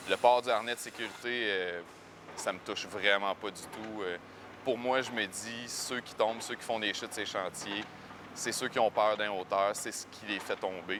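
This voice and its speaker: A man with a Quebec accent speaks at a fairly slow pace and a fairly low pitch. His intonation is fairly even, with noticeable background noise. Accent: Québécois French. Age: 20s. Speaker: paraplegic former carpenter. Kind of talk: testimony. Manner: hesitant, many fillers.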